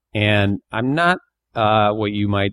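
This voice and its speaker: A man with an American accent and an unremarkable speaking voice, fairly low in pitch, with fairly even intonation. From Northeast Pennsylvania, US. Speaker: comedian and actor. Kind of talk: casual interview.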